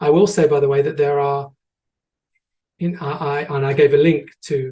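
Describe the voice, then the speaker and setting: A man with an English accent speaks at a moderate pace in a dark, mellow, somewhat breathy tone, his fairly high pitch held in a monotone, flat intonation. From England. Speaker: tour guide and educator. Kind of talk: online presentation with audience questions. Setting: online video presentation. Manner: hesitant, many fillers and repetitions.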